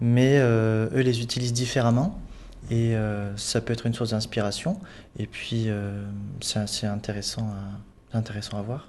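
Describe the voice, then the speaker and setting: Pausing long and often, a man speaks at a fairly slow pace and a medium pitch with fairly even intonation. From southern France, Sète. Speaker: sculptor, artist in residence. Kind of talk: studio interview.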